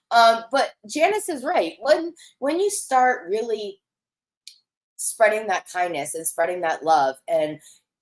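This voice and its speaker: Loud and at a fairly slow pace, a woman's voice moves through very wide pitch swings. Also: fairly high pitch for a woman. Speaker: psychic medium livestream host. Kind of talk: live stream chat reading viewer comments. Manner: casual, filler-heavy.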